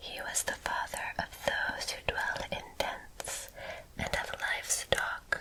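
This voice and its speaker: A woman whispers very slowly as noticeable background noise carries on around her. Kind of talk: scripture reading. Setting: relaxed porch with nature sounds. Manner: whispered, soft.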